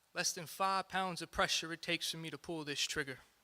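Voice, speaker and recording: A man's raised, projected voice with a bright, sharp tone, on a very clean recording with a silent background. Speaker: spoken word poet. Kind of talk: live spoken word poetry performance.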